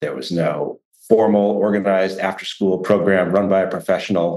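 A man with an unremarkable speaking voice, fairly low-pitched, at a fairly slow pace. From US Midwest, Chicago. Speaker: sociologist. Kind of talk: interview.

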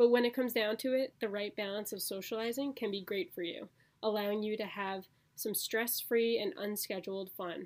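A woman speaks at a fairly quick pace with a normal speaking voice. Her pitch sits fairly high and varies in an ordinary way. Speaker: podcast host. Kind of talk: casual chat.

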